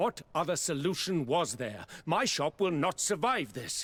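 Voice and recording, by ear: In a very clean recording with a silent background, a man puts on a character voice that is fairly high-pitched for a man, with big pitch swings and a slightly husky edge. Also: fairly slow pace.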